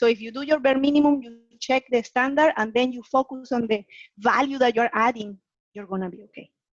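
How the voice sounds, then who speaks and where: A fairly quick delivery with a non-native accent, big swings in loudness, and a dry, close sound with no echo. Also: woman, high pitch for a woman, ordinary pitch variation. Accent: foreign accent, noticeable. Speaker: guest lecturer on presentation skills. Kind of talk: webinar Q&A answer.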